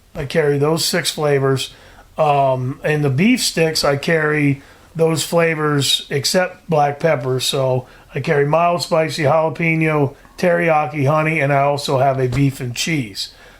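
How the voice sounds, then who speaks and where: A man speaks at a fairly high pitch with fairly even intonation. Noticeable background noise runs throughout. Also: fairly slow pace. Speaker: trapper and outdoor TV producer. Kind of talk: podcast interview answer.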